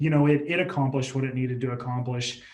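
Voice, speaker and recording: There is audible room echo around a man's voice. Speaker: healthcare digital marketing manager. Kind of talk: interview. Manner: halting, self-described stuttering.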